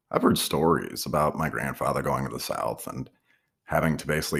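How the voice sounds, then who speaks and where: A man with an American accent speaks in a very deep, low voice with vocal fry and fairly even intonation. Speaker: podcaster. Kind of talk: personal reflective monologue.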